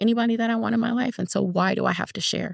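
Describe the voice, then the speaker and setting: On a very clean recording with a silent background, a woman speaks with vocal fry. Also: dry, close sound with no echo. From Inglewood, California. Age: 50s. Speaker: nurse. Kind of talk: interview answer.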